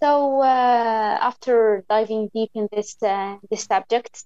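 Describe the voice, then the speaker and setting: At a very slow pace, a woman speaks at a fairly high pitch with ordinary pitch variation, the sound dry and close with no echo. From Algeria. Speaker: podcast interviewer. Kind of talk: interview in mixed Arabic and English. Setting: remote recording, filming on phone and talking via computer.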